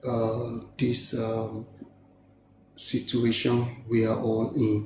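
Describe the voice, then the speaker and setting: In a room with audible echo, a man speaks very slowly at medium pitch, somewhat breathy, with monotone, flat intonation. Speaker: live stream participant. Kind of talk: heated debate.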